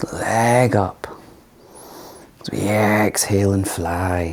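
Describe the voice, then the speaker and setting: A man's calm tone at a fairly low pitch, very slow pace and fairly even intonation, over noticeable background noise. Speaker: yoga teacher. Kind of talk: guided yoga class. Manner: calm instructional pacing.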